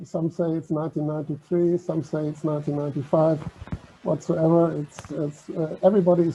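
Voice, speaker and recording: At a fairly quick pace, a man with a German accent speaks in a fairly high pitch, using a dark, mellow tone and flat, monotone intonation. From Germany. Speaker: maritime heritage organisation vice president. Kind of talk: online talk presentation.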